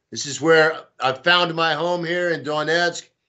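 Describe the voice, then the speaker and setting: A man with a Texan accent speaks at a fairly high pitch with fairly even intonation. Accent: Texan American. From Texas. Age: 60s. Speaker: pro-Russian volunteer and blogger. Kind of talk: interview. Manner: casual, hesitant with fillers.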